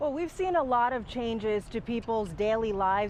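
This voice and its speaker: A woman with an unremarkable speaking voice, a moderate pace and ordinary pitch variation. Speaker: TV news reporter. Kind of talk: TV news report.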